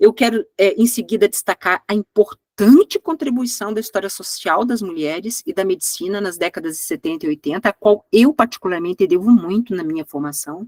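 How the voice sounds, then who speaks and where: Her pitch medium, a woman speaks at a moderate pace with very wide pitch swings. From Brazil. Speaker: history professor. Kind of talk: lecture. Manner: halting, many fillers.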